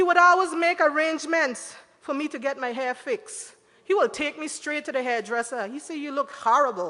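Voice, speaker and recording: A woman's raised, projected voice rings out at a high pitch, moving at a moderate pace with lively intonation. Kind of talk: eulogy at a memorial service. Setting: church.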